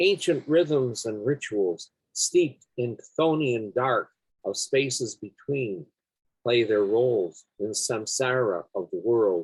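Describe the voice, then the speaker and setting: A somewhat breathy voice speaks at a very slow pace with lively intonation. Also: man, medium pitch for a man. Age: 70s. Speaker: poet. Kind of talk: poetry reading; casual chat.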